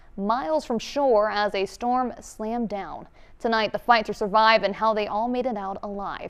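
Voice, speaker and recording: A woman's fairly high pitch and moderate pace in an ordinary speaking voice. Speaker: TV news anchor. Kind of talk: TV news anchor read.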